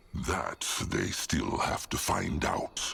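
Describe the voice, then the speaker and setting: A man's put-on character voice over light background noise. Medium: video game. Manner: speaks of himself in third person.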